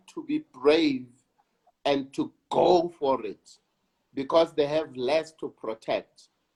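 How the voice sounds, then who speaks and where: In a South African accent, a man talks at a very slow pace with lively intonation, the sound dry and close with no echo. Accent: South African (Sesotho-speaking) English. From South Africa, Soweto and Lesotho. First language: Sesotho. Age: 60s. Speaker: actor. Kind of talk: interview.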